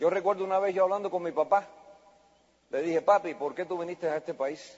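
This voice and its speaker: This man has a high-pitched voice with ordinary variation in pitch. He speaks at a moderate pace. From US, child of Spanish-speaking immigrant. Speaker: network marketing speaker. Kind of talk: motivational speech. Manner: animated.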